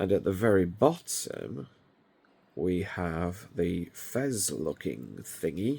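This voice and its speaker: With very wide pitch swings and vocal fry, a man talks very slowly in a very deep, low voice with a dark, mellow tone, on a very clean recording with a silent background. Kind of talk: casual product show-and-tell.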